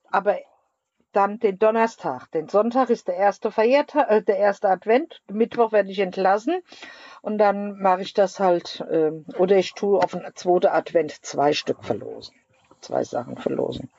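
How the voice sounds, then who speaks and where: This is a woman with a plain, everyday voice at medium pitch. She speaks at a moderate pace with ordinary pitch variation. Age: 50s. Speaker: podcast co-host. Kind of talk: casual chat. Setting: rehab clinic.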